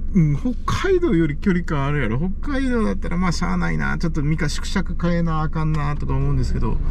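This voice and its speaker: The speech moves at a fairly quick pace. The sound is dry with no echo, over light background noise. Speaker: car-camping vlogger. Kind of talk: casual talk to camera. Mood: amused, relaxed. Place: car. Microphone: camera far.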